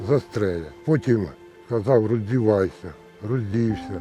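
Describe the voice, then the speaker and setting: Over music in the background, a man of medium pitch speaks at a fairly slow pace with ordinary pitch variation. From Zaporizhzhia region, Ukraine. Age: 70s. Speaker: survivor of detention under occupation. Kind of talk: interview answer.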